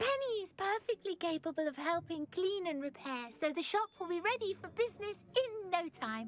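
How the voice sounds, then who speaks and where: A female-sounding voice puts on a character voice at an extremely high pitch. The pace is moderate. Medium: video game. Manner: talks of herself in third person, rambling.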